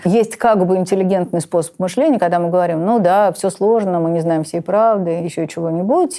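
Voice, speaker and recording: Her voice has a dark, mellow tone at a medium pitch, with ordinary pitch variation. The woman keeps a moderate pace with hardly any pauses. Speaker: literature teacher. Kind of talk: interview answer.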